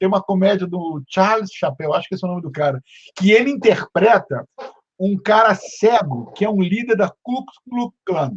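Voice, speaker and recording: With an animated tone and lively intonation, a man talks at a high pitch. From Brazil. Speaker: podcast host. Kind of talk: casual interview chat. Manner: animated, halting with repetitions.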